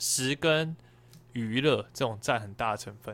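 A man talks in an unremarkable speaking voice, medium in pitch with ordinary pitch variation, captured in a very clean recording with a silent background. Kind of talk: casual chat.

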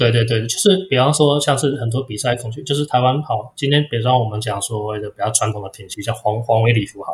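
Somewhat breathy, a man at a medium pitch talks very fast with hardly any pauses. His pitch variation is ordinary. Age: 40s. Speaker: guppy breeder. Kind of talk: interview. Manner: halting, frequent repeated words.

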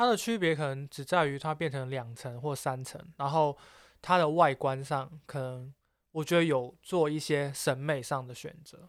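On a very clean recording with a silent background, a man with an ordinary speaking voice and fairly high pitch talks at a moderate pace, showing ordinary pitch variation and big swings in loudness. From Macau. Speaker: podcast co-host. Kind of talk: casual chat.

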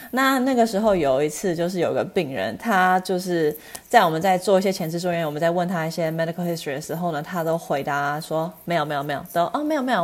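A woman talks very fast in a fairly low voice. Background noise is noticeable. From US West Coast, Los Angeles. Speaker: eye doctor. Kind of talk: interview. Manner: halting, many fillers.

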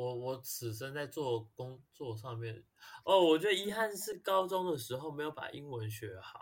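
The pitch swings very widely at a moderate pace. The loudness swings widely too. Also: man, fairly high pitch for a man. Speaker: musical theatre actor and singer. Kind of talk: casual chat.

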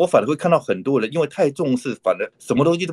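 A man's voice carries vocal fry and very wide pitch swings. The sound is dry and close with no echo. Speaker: dentist, author and conservation group founder. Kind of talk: interview conversation. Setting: online call. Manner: frequent hesitation fillers.

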